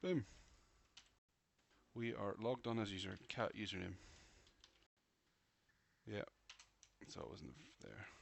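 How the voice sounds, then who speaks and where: A mumbling man with vocal fry, fairly low pitch and lively intonation, at a fairly slow pace with long, frequent pauses. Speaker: penetration tester learning security. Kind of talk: casual live hacking walkthrough with thinking aloud. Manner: mumbling, muttering to self.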